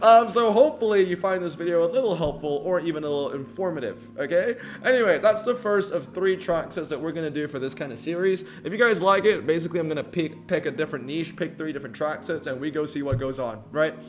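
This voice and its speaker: Speaking very fast with hardly any pauses, a man with a high voice uses lively intonation over noticeable background noise. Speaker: mobile game content creator. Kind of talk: casual game commentary video. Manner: casual, filler-heavy.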